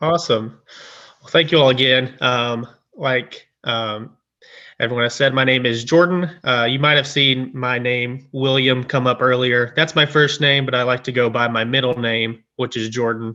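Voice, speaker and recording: Speaking at a moderate pace with fairly even intonation, a man uses a plain, everyday voice at a medium pitch. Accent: American. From US South, rural east Tennessee. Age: 20s. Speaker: graduate student, guest speaker. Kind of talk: presentation to online audience. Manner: casual, many filler ums.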